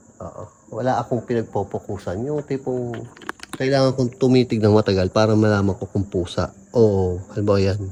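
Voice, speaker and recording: A man speaks fairly quickly, his pitch varying in an ordinary way, while noticeable noise runs in the background. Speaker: vlogger exploring a cemetery. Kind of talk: ghost-hunting vlog narration. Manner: quiet, hushed.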